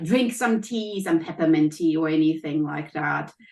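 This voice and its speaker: A woman's voice with a German accent and lively intonation. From Germany. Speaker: health coach and college professor. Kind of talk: interview.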